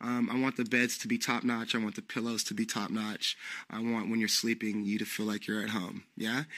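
A man speaks with a West Coast accent at a medium pitch and a fairly quick pace. His intonation is monotone and flat, in a very clean recording with a silent background. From San Francisco, California. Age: 30s. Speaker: aspiring hostel owner. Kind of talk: interview. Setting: hostel. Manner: hesitant, many fillers.

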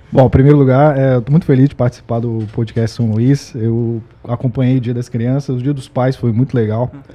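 Noticeable background noise sits behind a man speaking at a fairly quick pace with hardly any pauses. His medium-pitched voice is monotone, with flat intonation. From Espírito Santo, Brazil. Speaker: logistics employee. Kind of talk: casual chat.

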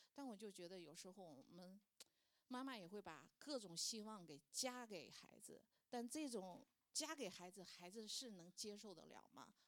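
A woman speaks with a medium pitch and lively intonation at a moderate pace. It is an ordinary speaking voice. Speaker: churchgoer sharing as a mother. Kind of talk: testimony.

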